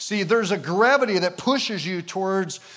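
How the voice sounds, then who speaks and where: A man with an American accent speaks at a moderate pace. His pitch is high, with ordinary variation. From Michigan, US. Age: 50s. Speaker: pastor. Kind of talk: sermon. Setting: church. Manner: animated.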